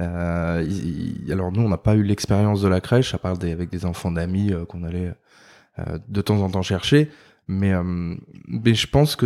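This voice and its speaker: In a very clean recording with a silent background, a man with a very deep, low pitch and a dark, mellow tone speaks at a fairly slow pace. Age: 30s. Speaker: father and furniture designer. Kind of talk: casual interview. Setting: office. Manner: halting, many fillers.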